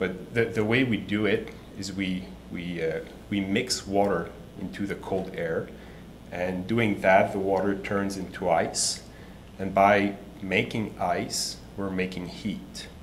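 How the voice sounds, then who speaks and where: In a Quebec accent, a man speaks very slowly at a fairly low pitch. His intonation is fairly even, and the room echo is audible. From Quebec City, Canada. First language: French. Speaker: startup CEO. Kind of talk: pitch presentation. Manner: halting, many repetitions.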